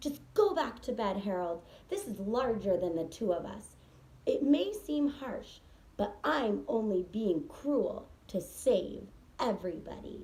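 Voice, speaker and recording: Using a put-on character voice, a woman growls at a fairly high pitch and a fairly slow pace. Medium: read story. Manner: snarling.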